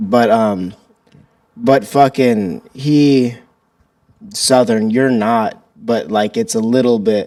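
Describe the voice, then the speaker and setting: Speaking with an American accent at a very slow pace, a man with a medium pitch and a dark, mellow tone shows ordinary pitch variation and takes long, frequent pauses. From Illinois, St. Louis area. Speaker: podcast host. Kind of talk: casual chat.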